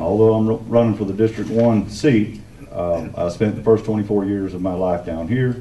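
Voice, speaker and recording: A man with a Southern US accent talks at a fairly quick pace in a fairly low pitch. Noticeable background noise runs behind him. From Santa Rosa County, Florida panhandle. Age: 40s. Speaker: political candidate. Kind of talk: campaign speech at a candidate forum. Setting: public meeting with audience.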